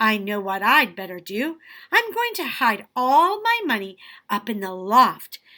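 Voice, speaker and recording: A woman is speaking. She uses a put-on character voice. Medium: read story.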